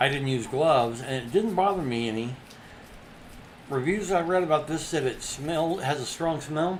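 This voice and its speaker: Pitched fairly high, a man speaks at a moderate pace with ordinary pitch variation and audible room echo. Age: 60s. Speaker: artist livestreamer. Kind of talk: casual crafting demo.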